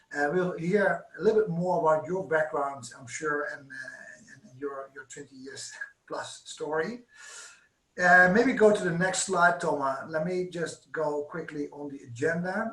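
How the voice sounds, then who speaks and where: A high-pitched man at a fairly slow pace, with ordinary pitch variation. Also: big swings in loudness. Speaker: sales manager presenting webinar. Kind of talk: corporate webinar presentation. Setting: online webinar with interpreters. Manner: hesitant, many fillers.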